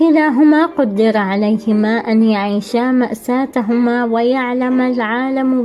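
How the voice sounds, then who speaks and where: Music plays in the background as the speech moves at a very slow pace. There are hardly any pauses, and the pitch varies in an ordinary way. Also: woman. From Syria. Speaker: writer and spoken-word performer. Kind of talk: reading aloud own prose.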